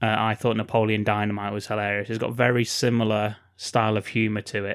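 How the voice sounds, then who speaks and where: With an English accent, the speaker moves at a fairly quick pace in a monotone, flat intonation on a very clean recording with a silent background. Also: man. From England. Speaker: podcast co-host. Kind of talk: casual chat.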